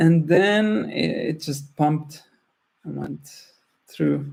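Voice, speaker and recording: This man speaks at a very slow pace. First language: not English. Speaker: trading tutorial host. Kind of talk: screen-share tutorial. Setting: screen-share recording. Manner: halting, many restarts.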